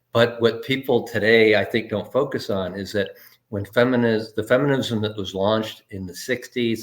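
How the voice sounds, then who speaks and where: At a fairly quick pace, a man talks in an unremarkable speaking voice of medium pitch, with fairly even intonation and big swings in loudness. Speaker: interviewer. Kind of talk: casual interview talk.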